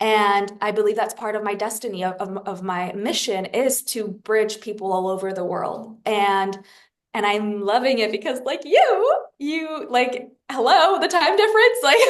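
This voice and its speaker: Animated in tone, a woman with a French accent speaks with lively intonation. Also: fairly high pitch for a woman, moderate pace. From France. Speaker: spiritual guide. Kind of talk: casual interview conversation.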